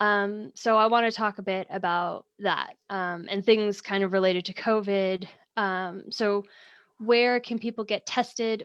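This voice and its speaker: In a fairly slow, fairly even delivery, a woman with a plain, everyday voice speaks at medium pitch with an American accent. The sound is dry and close with no echo, over a quiet background. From United States. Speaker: networking group co-founder and webinar host. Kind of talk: webinar interview. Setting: video call livestream from home.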